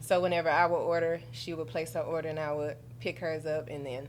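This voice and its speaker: Audible room echo follows a woman as she talks at a fairly quick pace. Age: 30s. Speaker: customer. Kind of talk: casual interview.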